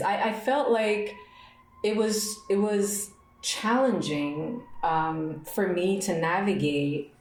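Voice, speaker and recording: A woman's very slow speech with very wide pitch swings, audible room echo and noticeable background noise. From Montreal, Quebec. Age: 30s. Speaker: podcast host. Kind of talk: personal reflection monologue. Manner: repetitive, emphatic.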